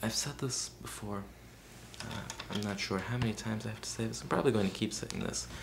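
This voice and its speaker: Soft-spoken and fairly low in pitch, a man talks at a fairly quick pace amid audible room echo. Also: ordinary pitch variation. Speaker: video blogger. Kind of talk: video response monologue. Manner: soft-spoken, very quiet; hesitant, many fillers.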